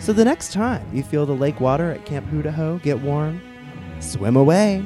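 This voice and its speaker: A man's voice with very wide pitch swings over music in the background. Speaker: drag performer. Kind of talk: comic ghost story told on stage.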